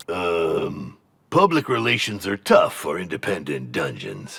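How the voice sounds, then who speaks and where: Speaking in a very deep, low pitch, a man performs a put-on character voice. His delivery is fairly slow. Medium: video game. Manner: pompous, evasive salesman.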